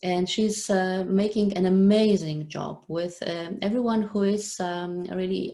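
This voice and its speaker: Speaking at a very slow pace with a non-native accent, a woman has a dark, mellow tone. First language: not English. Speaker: online show host. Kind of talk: live interview. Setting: live video stream. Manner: halting, many fillers.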